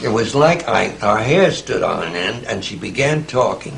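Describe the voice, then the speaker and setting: Noticeable background noise sits behind the speech. The man talks at a fairly slow pace. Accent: American. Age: 80s+. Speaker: author. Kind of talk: dinner conversation filmed at home. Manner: storytelling raconteur.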